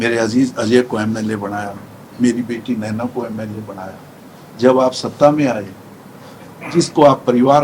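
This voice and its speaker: A man speaks with fairly even intonation. Noticeable background noise is present. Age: 70s. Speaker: politician. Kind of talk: interview.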